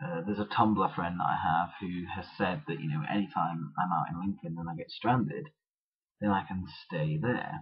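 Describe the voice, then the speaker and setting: Quietly and at a moderate pace, a man speaks in a very deep, low pitch. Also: ordinary pitch variation. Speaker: video blogger. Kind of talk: vlog monologue. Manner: quiet, low energy; halting, many fillers.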